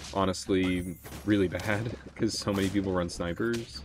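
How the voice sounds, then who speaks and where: Over noticeable background noise, a man talks at a very deep, low pitch. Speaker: gaming YouTuber. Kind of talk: casual gameplay commentary. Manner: casual, thinking aloud, playful.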